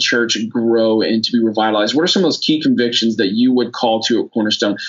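A man with an unremarkable speaking voice, at a fairly quick pace with ordinary pitch variation. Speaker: podcast host. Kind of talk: moderated panel conversation. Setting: video call.

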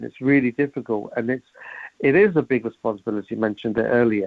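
Ordinary pitch variation marks a man's voice set at a medium pitch. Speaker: former local councillor and media producer. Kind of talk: radio interview.

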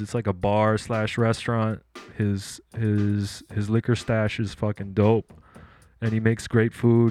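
Over music in the background, a man with a fairly low pitch speaks at a fairly slow pace in a flat monotone. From Japan. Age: 30s. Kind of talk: casual chat.

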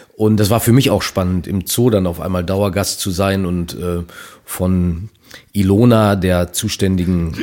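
Fairly low in pitch and fairly even in intonation, a man speaks in an ordinary speaking voice. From Germany, Minden area (East Westphalia). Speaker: author and cabaret artist. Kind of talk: casual interview.

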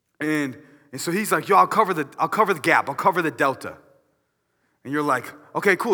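A man speaks at a very fast pace in an animated, bright, sharp tone. The recording is very clean, with a silent background. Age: 20s. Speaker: minister in training. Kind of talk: sermon. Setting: church.

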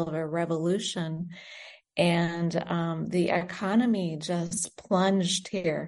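A woman's fairly low-pitched, ordinary speaking voice with fairly even intonation. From United States (born in Britain, moved at five). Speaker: nurse and charity founder. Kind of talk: interview. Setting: remote call from abroad.

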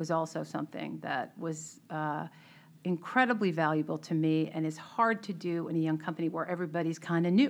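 A plain, everyday voice with an American accent moves at a fairly quick pace against a quiet background. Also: woman. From Boston area, Melrose. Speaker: tech CEO and board member. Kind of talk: interview conversation.

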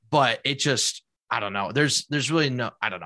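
With very wide pitch swings, a man speaks in a bright, sharp tone with vocal fry, recorded dry and close with no echo. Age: 20s. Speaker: video game streamer. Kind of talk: casual chat.

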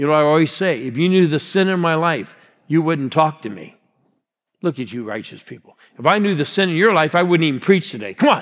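A man at a fairly high pitch, fairly quick and lively in intonation, with big swings in loudness. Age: 60s. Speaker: guest pastor. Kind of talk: sermon. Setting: church with congregation. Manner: animated.

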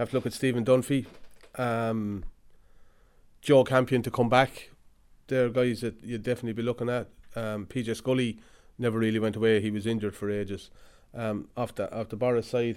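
A man with an Irish Midlands accent talks fairly quickly at medium pitch, using monotone, flat intonation. He takes long, frequent pauses. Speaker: hurling analyst. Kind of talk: casual chat.

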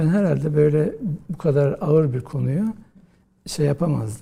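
A man with a dark, mellow, somewhat breathy tone speaks at a fairly high pitch with ordinary pitch variation. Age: 50s. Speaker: historian, professor. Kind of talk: interview.

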